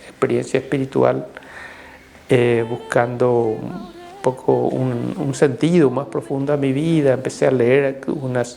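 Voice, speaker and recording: A man speaks in a Paraguayan accent at a fairly slow pace and a medium pitch. Music plays in the background. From Paraguay (Caazapá). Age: 60s. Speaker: Jesuit priest. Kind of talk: interview testimony. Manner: halting, many fillers.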